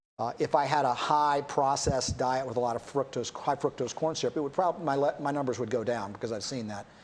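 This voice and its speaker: Someone with an American accent talks at a fairly quick pace on a very clean recording with a silent background. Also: man, medium pitch for a man, ordinary pitch variation. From United States. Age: 60s. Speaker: doctor and rancher. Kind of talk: talk show interview. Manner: halting, many fillers.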